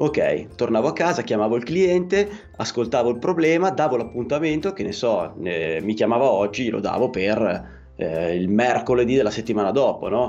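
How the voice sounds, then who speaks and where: A man at medium pitch, moderately paced, his pitch moving in very wide swings. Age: 40s. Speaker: electrician and podcaster. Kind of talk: casual interview chat. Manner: halting.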